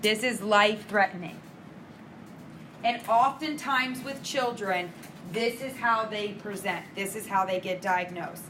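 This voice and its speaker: Pausing long and often, a woman with a fairly high pitch for a woman and ordinary pitch variation speaks through noticeable background noise and audible room echo. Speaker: nursing instructor. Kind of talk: lecture.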